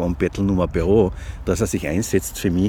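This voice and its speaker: A man talks at a fairly quick pace in a very deep, low voice. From Austria, Carinthia (Klagenfurt). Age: 50s. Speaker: journalist. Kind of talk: casual interview chat. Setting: outdoors on a park bench.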